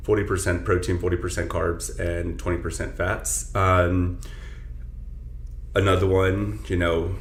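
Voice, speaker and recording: A man's moderate-paced speech comes with audible room echo and noticeable background noise. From south Texas. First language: Spanish. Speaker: personal trainer. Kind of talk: casual chat.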